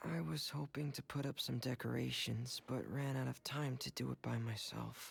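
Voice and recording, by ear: Using a put-on character voice, a man speaks with vocal fry and a husky, rough edge, keeping fairly even intonation at a moderate pace. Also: medium pitch for a man.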